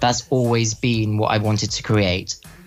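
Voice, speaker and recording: Noticeable background noise sits behind a man speaking. He has a British accent and keeps a moderate pace. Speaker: musician, interview guest.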